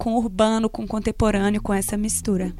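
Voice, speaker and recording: A woman talks at a very fast pace in a monotone, flat delivery. The recording is very clean, with a silent background. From Brazil, Minas Gerais (Vale do Jequitinhonha). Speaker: radio presenter. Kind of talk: interview.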